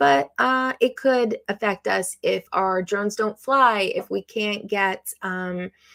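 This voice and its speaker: At a very slow pace yet with hardly any pauses, a woman with a medium-pitched voice and a bright, sharp tone speaks with ordinary pitch variation, the sound dry and close with no echo. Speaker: live stream host, drone hobbyist. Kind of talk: casual live stream chat. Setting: live stream.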